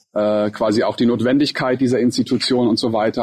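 This is an ordinary speaking voice, moving at a fairly quick pace with fairly even intonation. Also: man. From grew up in USA, Russia and the Emirates. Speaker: podcast co-host, learning center co-founder. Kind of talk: casual conversation. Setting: outdoors in a garden.

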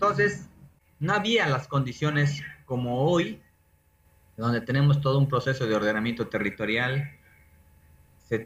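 The voice is somewhat breathy and proceeds at a moderate pace. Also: man. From Peruvian Amazon, San Martín (Moyobamba). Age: 40s. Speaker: environmental engineer. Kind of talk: interview.

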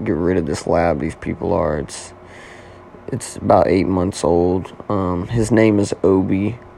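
A man with an American accent and a very deep, low voice, at a fairly slow pace, over noticeable background noise. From Oklahoma. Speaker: podcast host. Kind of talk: casual solo monologue. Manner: casual, filler-heavy.

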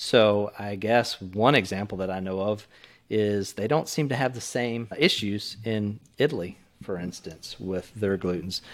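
A man speaks with a Texan accent at a fairly low pitch and a fairly slow pace. His tone is calm. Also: ordinary pitch variation. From Texas. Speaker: retired military pilot. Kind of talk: casual chat.

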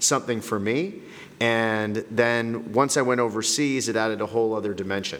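A man with an unremarkable speaking voice, a Canadian accent, medium pitch and a fairly quick pace. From Canada. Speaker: middle school principal. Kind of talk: podcast interview.

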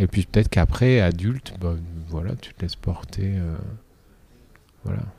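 The tone is dark and mellow, somewhat breathy, with big swings in loudness. The pace is moderate, broken by long, frequent pauses. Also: man, very deep, low pitch for a man, ordinary pitch variation. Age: 40s. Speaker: dance teacher and choreographer. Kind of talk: interview. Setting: dance venue.

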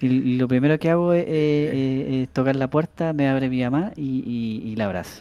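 At a moderate pace, a man with a Chilean accent talks in a medium pitch and a dark, mellow tone. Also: ordinary pitch variation. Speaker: podcast co-host. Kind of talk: casual chat. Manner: halting, repeats words.

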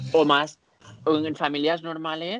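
At a fairly slow pace, an unremarkable speaking voice comes through with a dry, close sound and no echo. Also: man. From Spain (Barcelona, Catalonia). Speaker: podcast co-host, dancer. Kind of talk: casual chat.

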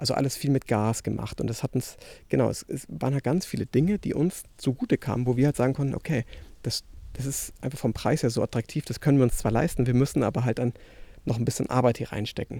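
Talking at a very fast pace, a man with a medium pitch has a dark, mellow tone and ordinary pitch variation. The very clean recording has a silent background and a dry, close sound with no echo. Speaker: podcast host, filmmaker. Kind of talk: casual monologue. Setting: outdoors, walking in garden. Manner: halting, many fillers.

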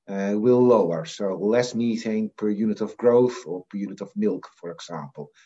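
A man with a Dutch accent at a moderate pace. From Netherlands (Assen, Drenthe; Frisian family). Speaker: professor of animal nutrition. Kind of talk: interview.

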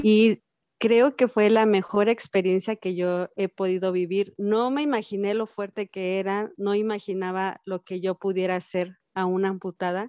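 Slowly paced, dry and close with no echo, a woman with a Mexican accent speaks in a dark, mellow tone with fairly even intonation over a quiet background. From Mexico, Cuernavaca, Morelos. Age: 30s. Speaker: amputee mother sharing her story. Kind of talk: interview testimony.

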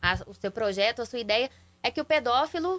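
A woman's high-pitched voice with lively intonation at a moderate pace, in a dry, close sound with no echo. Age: younger than the host. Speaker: journalist and TV news anchor. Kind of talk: interview questions. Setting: radio and TV studio.

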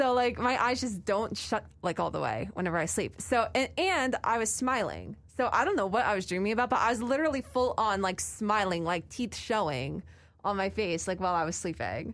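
In a very clean recording with a silent background, a woman talks at a fairly quick pace with lively intonation, medium pitch and vocal fry. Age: 20s. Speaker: college radio host. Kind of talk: casual chat. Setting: studio.

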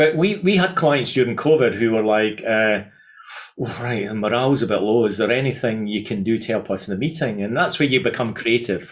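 A man with a Scottish accent speaks at a fairly quick pace and a medium pitch. His intonation is lively. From Scotland. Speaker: events company founder. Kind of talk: interview. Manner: halting.

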